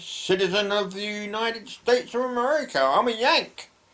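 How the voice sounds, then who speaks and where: Talking at a moderate pace is a man. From London, England. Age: 70s. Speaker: retired emigrant vlogger. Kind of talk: casual personal storytelling. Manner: halting, many fillers.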